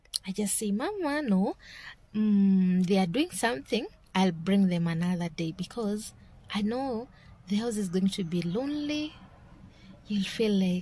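A woman talks in a dark, mellow, somewhat breathy voice with lively intonation, and the sound is dry with no echo. Her pace is fairly slow, with long, frequent pauses. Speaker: vlogger. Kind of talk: casual vlog chat. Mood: warm, reflective. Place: car. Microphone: phone near.

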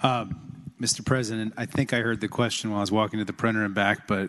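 Against a quiet background, a man with a fairly low pitch speaks at a very fast pace with monotone, flat intonation. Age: 40s. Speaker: state senator. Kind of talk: legislative floor debate. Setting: legislative chamber. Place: hall.

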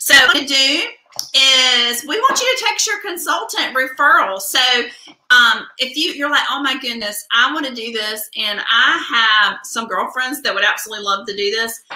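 A woman with a high voice and a Southern US accent speaks in a raised, projected voice with lively intonation. Light background noise and audible room echo surround her. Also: moderate pace. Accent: US South. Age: 40s. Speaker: beauty product consultant; skincare consultant host. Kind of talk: live product demo. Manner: animated. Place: home room. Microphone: webcam.

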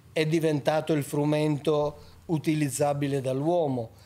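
A man speaks at a very slow pace. His tone is dark and mellow, with fairly high pitch. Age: 70s. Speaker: author on ancient texts; podcast guest. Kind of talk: podcast interview. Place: studio. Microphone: studio mic.

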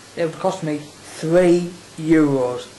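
A man mumbles in a high voice. Noticeable background noise sits behind him. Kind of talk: casual video diary to camera. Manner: mumbling.

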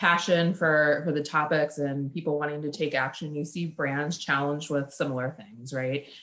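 Very deep and low in pitch, a woman speaks with fairly even intonation. Her pace is moderate. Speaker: advertising research executive. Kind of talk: panel discussion. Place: home room. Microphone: video call.

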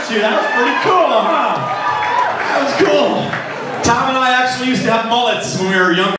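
Through crowd noise in the background and audible room echo, a man talks at a moderate pace. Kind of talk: stage banter with audience. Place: bar.

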